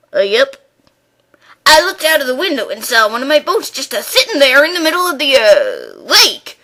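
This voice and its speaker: A woman's put-on character voice, pitched high. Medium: stage play. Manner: hesitant, rambling, says "uh, yep".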